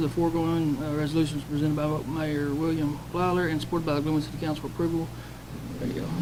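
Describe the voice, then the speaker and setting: A man with an American accent mumbles at a very fast pace in a fairly high voice. The room echo is audible, and background noise is noticeable. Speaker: city council member. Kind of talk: reading aloud. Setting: council meeting. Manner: mumbling.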